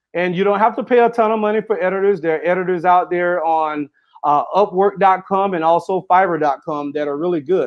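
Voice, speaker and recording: The man speaks at a fairly quick pace with a high pitch. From Florida, US South. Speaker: author and motivational speaker. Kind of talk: interview. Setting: live stream interview. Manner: fast, runs sentences together.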